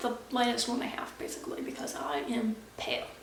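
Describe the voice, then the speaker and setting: A woman talking amid noticeable background noise and audible echo from the room. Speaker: beauty vlogger. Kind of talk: casual chat. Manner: fast.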